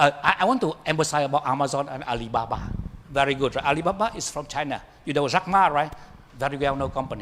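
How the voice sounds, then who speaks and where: A man's voice with ordinary pitch variation. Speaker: professor, keynote speaker. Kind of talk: keynote lecture; Q&A answer. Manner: fast; halting, repeats words.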